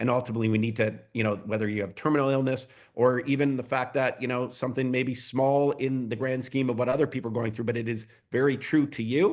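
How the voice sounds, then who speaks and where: A man at a medium pitch and very fast pace, his intonation fairly even. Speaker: company executive. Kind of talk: shareholder Q&A call. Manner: halting, many repetitions.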